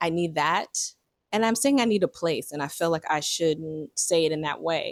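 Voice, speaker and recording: At a moderate pace, a woman speaks in a fairly low voice, the sound dry and close with no echo. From New York (the Bronx). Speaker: vlogger. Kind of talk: personal reflection vlog. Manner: halting.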